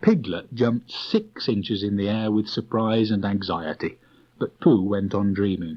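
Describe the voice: The text is read plainly aloud, its intonation fairly even.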